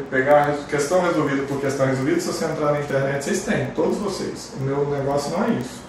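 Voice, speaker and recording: A fairly high-pitched man amid noticeable background noise and audible room echo. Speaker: chemistry teacher. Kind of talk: online lecture. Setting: livestream class.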